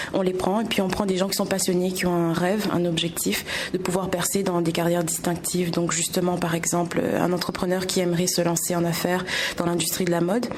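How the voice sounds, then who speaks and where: Over noticeable background noise and audible room echo, a woman talks at a fairly quick pace with a medium pitch, monotone, flat intonation and very even loudness. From Réunion. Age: 20s. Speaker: entrepreneur. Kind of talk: interview.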